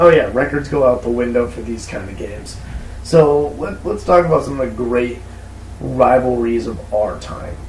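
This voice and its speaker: Noticeable background noise runs under the speech. Audible room echo fills the sound. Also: man, moderate pace. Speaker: podcast co-host. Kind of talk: casual chat. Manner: animated.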